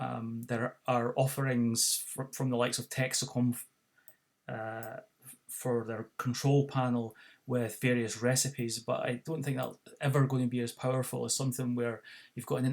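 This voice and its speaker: A man with a Scottish accent, medium pitch, moderate pace and monotone, flat intonation. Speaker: tech product demonstrator. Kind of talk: tutorial. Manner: halting, many fillers.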